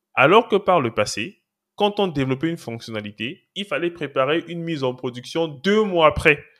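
A man at a moderate pace, fairly high in pitch, with lively intonation. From Cameroon. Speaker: cloud and DevOps engineer, trainer. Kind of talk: podcast interview.

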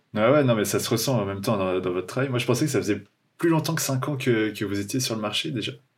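A man at medium pitch with ordinary pitch variation, talking at a very fast pace. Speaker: podcast host. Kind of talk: casual interview chat.

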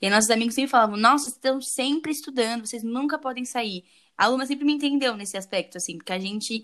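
Talking at a very fast pace, a woman with a high voice uses ordinary pitch variation, heard in a very clean recording with a silent background. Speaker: podcast host. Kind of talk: casual chat.

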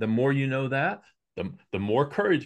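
Against a quiet background, a man with a plain, everyday voice and medium pitch speaks fairly quickly with ordinary pitch variation. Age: 60s. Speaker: executive coach and speaker. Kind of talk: casual interview conversation.

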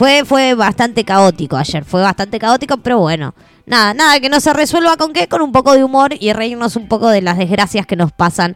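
Close and dry with no echo, a woman's fairly high voice has an animated tone, very wide pitch swings and a moderate pace. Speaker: radio host. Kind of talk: live radio chat.

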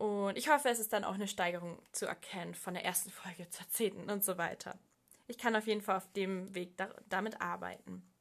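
A woman with a medium-pitched voice talks at a fairly quick pace, her pitch varying in an ordinary way. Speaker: podcast host. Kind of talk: solo podcast monologue. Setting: at home desk.

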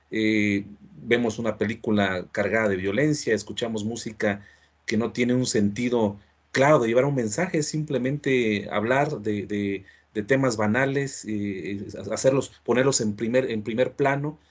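A man speaks at a fairly slow pace. His voice sits at a medium pitch with ordinary pitch variation. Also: quiet background. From Mexico. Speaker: podcast host. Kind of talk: interview. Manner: halting.

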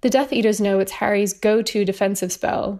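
The pace is very fast. A woman talks with a British accent. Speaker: listener. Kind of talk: recorded voicemail.

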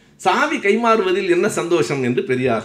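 With audible room echo, a man speaks with very wide pitch swings. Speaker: public lecturer. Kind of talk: lecture. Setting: hall with audience. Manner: formal.

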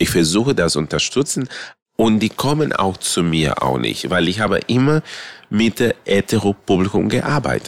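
At a moderate pace, a man with a fairly low pitch and vocal fry speaks in a very clean recording with a silent background. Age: 50s. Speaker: drag queen. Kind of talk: interview.

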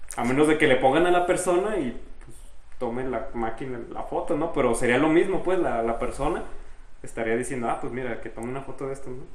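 A man with a Mexican accent talks at a fairly quick pace in a fairly high voice. Noticeable background noise and audible room echo fill the recording. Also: ordinary pitch variation. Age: 20s. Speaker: podcast co-host. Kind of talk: casual chat.

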